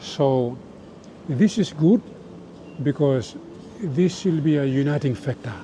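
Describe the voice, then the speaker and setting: A man's fairly high-pitched voice amid noticeable background noise. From Papua New Guinea. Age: 70s. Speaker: former rugby league captain. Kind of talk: interview.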